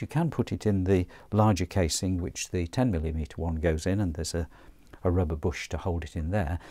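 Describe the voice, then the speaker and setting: A man speaks at a moderate pace with a very deep, low pitch and ordinary pitch variation. The background is quiet. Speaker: audio gear reviewer. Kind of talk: tutorial. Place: studio. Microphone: lapel.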